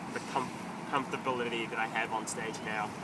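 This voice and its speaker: Over noticeable background noise and audible room echo, a man speaks with a New Zealand accent. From New Zealand, Filipino-born, moved at eight. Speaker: actor and stand-up comedian. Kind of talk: casual interview answers. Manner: hesitant, many fillers.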